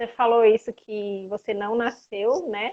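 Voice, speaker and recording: Her pitch is fairly high for a woman, with ordinary variation. She talks at a fairly slow pace. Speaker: physiotherapist. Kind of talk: live stream interview.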